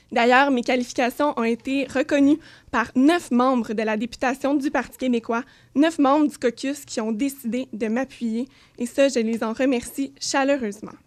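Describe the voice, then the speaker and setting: The recording is very clean, with a silent background. A woman speaks at a moderate pace in a high pitch with fairly even intonation. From Quebec, South Shore of Montreal. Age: 20s. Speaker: political candidate. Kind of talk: candidate debate statement. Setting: radio studio.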